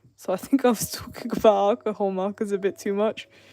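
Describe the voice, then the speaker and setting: A woman with an English accent mumbles at a fairly quick pace. Her voice has a dark, mellow tone. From England. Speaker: artist streamer. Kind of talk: live stream chat while drawing. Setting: live stream. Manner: mumbling.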